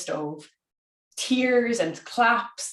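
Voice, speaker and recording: The intonation is lively. The speaker has an Irish accent. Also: woman. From Ireland. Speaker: conference speaker. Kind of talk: conference talk.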